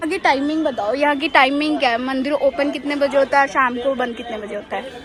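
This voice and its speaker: Crowd noise fills the background as a woman speaks at a high pitch. Her pace is moderate and her pitch variation ordinary. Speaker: travel vlogger. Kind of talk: travel vlog narration. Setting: outdoors at hilltop temple. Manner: conversational, addressing viewers.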